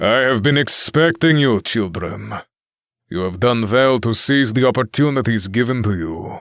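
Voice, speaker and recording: A man in a put-on character voice, medium in pitch, at a moderate pace, on a very clean recording with a silent background. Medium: read story. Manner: calm, cryptic, grandiose.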